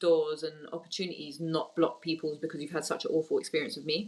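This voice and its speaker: This woman has a fairly low pitch and speaks with a London accent. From Tottenham, North London; Turkish Cypriot family. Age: young. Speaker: women's football executive. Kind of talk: interview.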